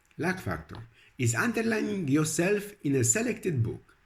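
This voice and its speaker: This male speaker's pitch leaps across a very wide range. There is vocal fry, and the tempo stays moderate. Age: 60s. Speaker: religious and self-help video blogger. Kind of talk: scripted narration. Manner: halting.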